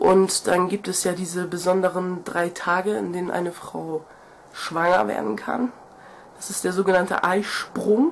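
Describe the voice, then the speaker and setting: A woman's medium-pitched voice with ordinary pitch variation, set against noticeable background noise. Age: 20s. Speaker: video blogger. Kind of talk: casual vlog monologue. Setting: video to camera. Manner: nervous, chatty, animated.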